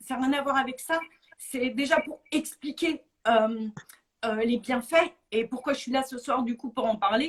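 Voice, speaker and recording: A woman's high voice at a fairly slow pace, broken by long, frequent pauses. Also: ordinary pitch variation. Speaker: guest with chronic illness. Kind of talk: testimony. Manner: halting, many hesitations.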